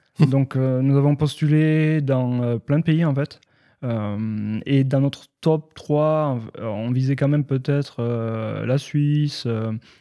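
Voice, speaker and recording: Speaking very slowly in a dark, mellow tone, a man with a slight southwestern French accent keeps a medium pitch and fairly even intonation. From southwestern France. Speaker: IT and cybersecurity professional, expat community figure. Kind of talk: podcast interview. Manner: hesitant, many fillers.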